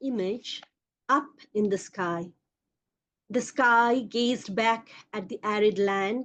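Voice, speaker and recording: A woman with a Bengali accent speaks at a very slow pace. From India, Kolkata. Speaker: poet. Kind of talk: poetry reading.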